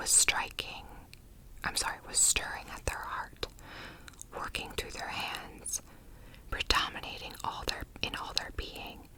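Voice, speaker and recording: The speaker whispers at a very slow pace. Noticeable background noise is present. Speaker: ASMR content creator. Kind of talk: literary text reading. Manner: whispered, soft.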